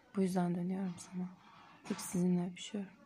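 A woman speaks at medium pitch with a dark, mellow tone. Her voice is somewhat breathy and her intonation is monotone and flat. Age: 30s. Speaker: poet. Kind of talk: reading aloud.

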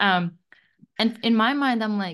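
A woman with a Latvian accent and ordinary pitch variation, against a quiet background. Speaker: guest discussing personal growth. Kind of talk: casual chat. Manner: halting.

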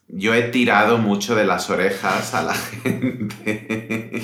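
The man's intonation is monotone and flat at a medium pitch. Audible room echo surrounds his voice. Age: 30s. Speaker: podcast host, Spanish teacher. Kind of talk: casual chat for language learners. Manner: slower than usual pace.

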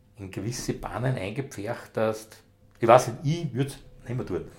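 There is a somewhat breathy quality to this man's voice. His pitch sits in the medium range. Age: 60s. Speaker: retired police dog handler. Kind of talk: casual interview. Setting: home kitchen.

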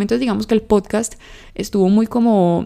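In a very clean recording with a silent background, a woman talks at a fairly quick pace with a dark, mellow tone. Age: 20s. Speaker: podcast host. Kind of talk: casual solo monologue.

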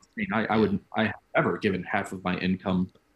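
A man with an American accent speaks at a very deep, low pitch. His delivery is fairly quick, with monotone, flat intonation. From US Midwest, central Illinois. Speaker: nurse. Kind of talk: casual chat.

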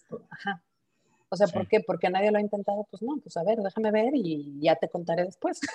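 At a fairly quick pace, a woman talks at medium pitch. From Mexico. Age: 40s. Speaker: startup founder. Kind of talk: interview.

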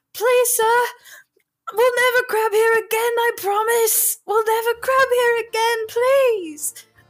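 A woman puts on a squeaky character voice, pitched extremely high and spoken at a fairly slow pace. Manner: pleading, fearful.

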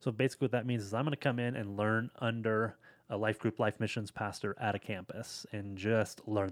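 An ordinary speaking voice, a man talks at a fairly low pitch and moderate pace with fairly even intonation, in a dry, close sound with no echo. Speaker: podcast co-host leaving the show. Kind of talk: casual chat.

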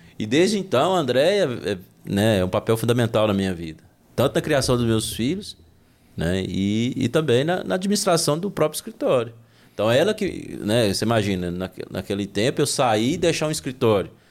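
The speaker is a man at a moderate pace. His medium pitch moves through very wide swings. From Brazil, Minas Gerais (Unaí, rural). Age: 40s. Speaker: entrepreneur and accountant. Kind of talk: casual interview.

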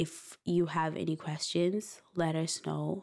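A woman speaks in a fairly low pitch with monotone, flat intonation. The recording is very clean, with a silent background. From Zimbabwe, moved to Ireland at 14. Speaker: podcast co-host, dance instructor. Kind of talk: casual chat.

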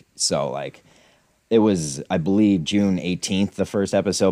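In an American accent, a man speaks with vocal fry, the sound dry and close with no echo. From Scranton, Pennsylvania. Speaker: podcaster, fan of the show's subject. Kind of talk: casual chat.

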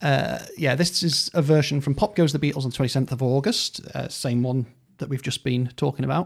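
Fairly high in pitch, a man talks in a normal speaking voice. His pace is fairly quick, with ordinary pitch variation. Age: 40s. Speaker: music expert co-host. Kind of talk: casual chat.

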